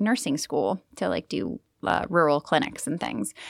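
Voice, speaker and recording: Bright and sharp in tone, a woman's voice shows vocal fry and very wide pitch swings. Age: 30s. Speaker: bakery owner and pharmacist. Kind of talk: interview.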